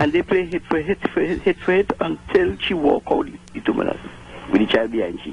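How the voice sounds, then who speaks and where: Noticeable background noise accompanies a man who speaks at a fairly quick pace. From Trinidad. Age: 70s. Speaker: caller. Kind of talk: radio call-in anecdote.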